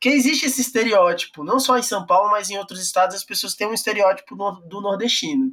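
A man's raised, projected, high voice at a very fast pace, with ordinary pitch variation and big swings in loudness. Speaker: podcast host. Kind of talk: interview.

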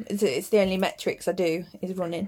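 A woman speaks with an English accent. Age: 30s. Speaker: podcast co-host and hairdresser. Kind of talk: casual chat. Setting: at home in the bedroom.

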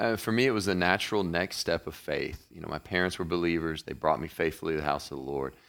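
A man with a Kentucky accent speaks at a very fast pace with hardly any pauses, his very deep, low pitch showing vocal fry. The recording is very clean, with a silent background. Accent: Kentucky Southern. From Kentucky (Murray). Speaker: pastor. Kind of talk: casual chat.

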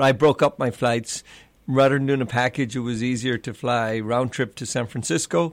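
In a southern Irish accent, a man speaks at a moderate pace with medium pitch and fairly even intonation, on a very clean recording with a silent background. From Ireland, Clonmel, County Tipperary. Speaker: restaurant and bar owner. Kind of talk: casual chat.

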